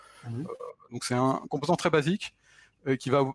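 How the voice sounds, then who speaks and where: Recorded with a dry, close sound and no echo, a man speaks at a medium pitch with ordinary pitch variation. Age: 40s. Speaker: self-taught retro console programmer. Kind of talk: technical interview.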